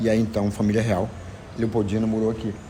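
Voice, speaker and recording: A man's fairly low voice at a fairly quick pace, with audible room echo. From Brazil, Maranhão (Barra do Corda). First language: Zenete'hár (Tupi-Guarani language) (speaking Portuguese). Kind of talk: interview, explaining history. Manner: halting, with fillers.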